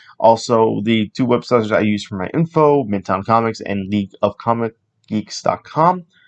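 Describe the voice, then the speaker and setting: A man's normal speaking voice, medium in pitch with ordinary pitch variation, moves at a moderate pace in a dry, close sound with no echo. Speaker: comics podcast host. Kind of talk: solo podcast monologue.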